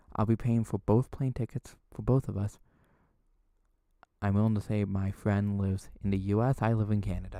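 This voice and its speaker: A soft-spoken man's voice, fairly low in pitch, dark and mellow in tone, with monotone, flat intonation, a moderate pace and long, frequent pauses, in a very clean recording with a silent background and a dry, close sound with no echo. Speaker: ASMR streamer. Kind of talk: live stream chat. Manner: quiet, soft-spoken; flat, emotionless.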